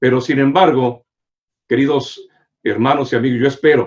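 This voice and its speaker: A man at medium pitch, speaking at a fairly slow pace with ordinary pitch variation. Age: 60s. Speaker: pastor. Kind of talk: sermon. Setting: online broadcast via social media.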